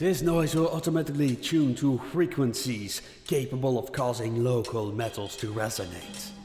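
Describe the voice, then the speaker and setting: A man with lively intonation over music in the background. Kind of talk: fiction narration, horror story reading.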